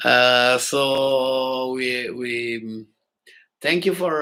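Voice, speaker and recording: Bright, sharp tone from a man at a medium pitch. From northern Italy, Milan. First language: Italian. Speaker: classical pianist and channel host. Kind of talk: live stream chat with viewers. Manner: halting, many filler sounds.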